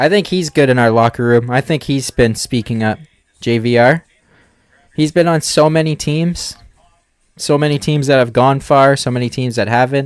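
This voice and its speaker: The sound is dry and close, with no echo. A man talks at a moderate pace in a fairly high pitch with ordinary pitch variation. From Southern Ontario, Canada. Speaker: hockey fan streamer. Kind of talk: live watch-along commentary.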